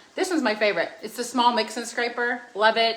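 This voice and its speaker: At a very fast pace, a woman speaks in an animated tone over noticeable background noise. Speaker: cooking demonstrator. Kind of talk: cooking demonstration.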